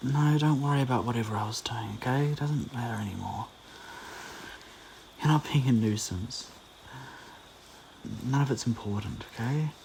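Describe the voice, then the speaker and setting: This man talks at a moderate pace with a medium pitch and a gentle tone. His pitch varies in an ordinary way. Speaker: audio roleplay performer (boyfriend character). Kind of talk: soothing comfort audio roleplay. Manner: soft, gentle, reassuring.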